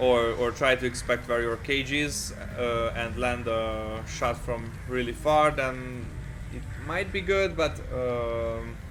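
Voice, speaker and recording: Over noticeable background noise and audible room echo, a man with a non-native accent speaks at a very slow pace. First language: not English. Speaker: gaming video creator. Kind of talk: game guide commentary. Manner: halting, many fillers.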